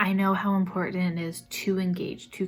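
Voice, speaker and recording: Soft-spoken and somewhat breathy, a woman talks at a medium pitch. Her pace is moderate. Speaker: vlogger and social media manager. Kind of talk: vlog. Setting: at home. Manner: calm.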